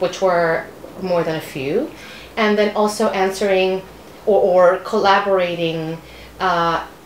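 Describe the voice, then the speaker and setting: At a fairly slow pace with long, frequent pauses, a woman with a Spanish accent speaks at medium pitch and with fairly even intonation, amid audible room echo and noticeable background noise. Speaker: novelist. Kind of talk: interview. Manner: halting.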